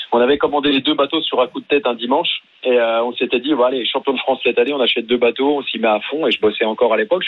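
This man speaks very fast, with ordinary pitch variation. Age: 40s. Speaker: paralympic paracanoe athlete. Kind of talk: radio interview. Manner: casual, hesitant.

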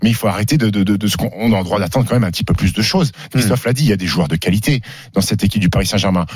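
A man speaks at a fairly low pitch. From France, Haute-Savoie (Annecy). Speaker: sports radio host. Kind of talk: sports debate show. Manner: animated.

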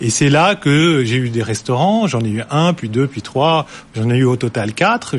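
Noticeable background noise beneath lively intonation. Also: man. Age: 40s. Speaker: company CEO. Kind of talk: studio interview.

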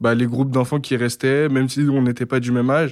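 On a very clean recording with a silent background, a man at medium pitch speaks at a fairly quick pace with monotone, flat intonation. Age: 20s. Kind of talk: testimony.

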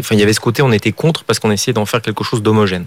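A man's fairly low voice in a dry, close sound with no echo. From Paris area, France. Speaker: entrepreneur. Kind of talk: interview. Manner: halting, many repetitions.

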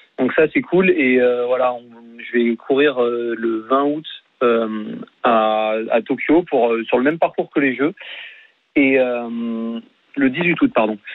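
Long, frequent pauses break up a man's very slow speech, which has ordinary pitch variation. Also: medium pitch for a man. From France. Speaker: triathlete. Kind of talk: radio interview.

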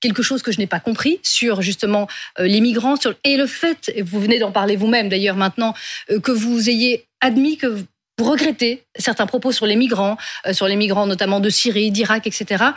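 A woman speaks at a moderate pace with a fairly high voice. It is somewhat breathy, with ordinary pitch variation. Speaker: panel journalist. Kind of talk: interview.

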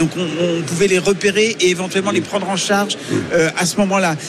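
The speaker is a man with a high pitch. Noticeable background noise can be heard. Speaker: journalist pundit. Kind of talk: panel debate. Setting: live broadcast from agricultural fair stand.

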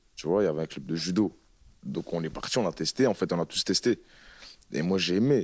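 A man is speaking. His pitch is very deep and low. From northern France, Roubaix. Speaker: rapper. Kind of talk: casual interview chat.

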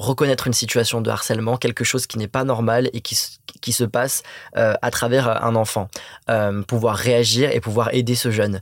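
At a moderate pace, a man speaks with medium pitch and monotone, flat intonation. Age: 20s. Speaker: anti-bullying association president. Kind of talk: interview. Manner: halting, repeats words.

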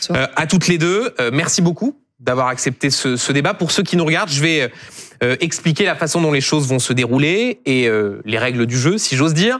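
This man has a fairly high pitch and a normal speaking voice, with lively intonation. His loudness stays very even at a moderate pace. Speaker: TV host. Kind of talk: debate moderation.

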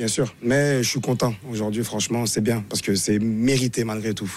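A man speaks fairly quickly in a monotone, flat way while noticeable background noise continues. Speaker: football pundit, former international player. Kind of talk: casual chat.

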